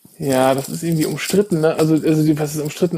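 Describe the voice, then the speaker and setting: A man talks very fast at a fairly high pitch, his intonation fairly even. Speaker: podcast co-host. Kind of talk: casual chat.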